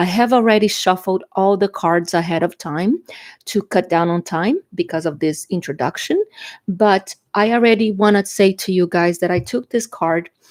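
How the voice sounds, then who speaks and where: With a Brazilian Portuguese accent, a woman speaks at a moderate pace and medium pitch with ordinary pitch variation, on a very clean, dry, close recording with a silent background and no echo. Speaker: tarot reader. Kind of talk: tarot reading. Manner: halting, with fillers.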